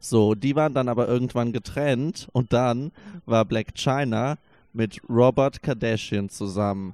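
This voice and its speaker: The recording is very clean, with a silent background and a dry, close sound with no echo. A man at a medium pitch speaks at a fairly slow pace with ordinary pitch variation. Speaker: podcast co-host. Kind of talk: casual chat. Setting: furniture store showroom. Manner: quiet.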